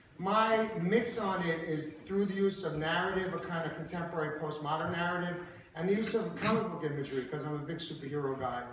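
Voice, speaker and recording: Loud and at a fairly quick pace, a man talks with an American accent, a high pitch and ordinary pitch variation. Audible room echo and noticeable background noise surround him. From Brooklyn, New York. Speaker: artist, painter. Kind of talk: artist talk at exhibition. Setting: gallery talk with audience.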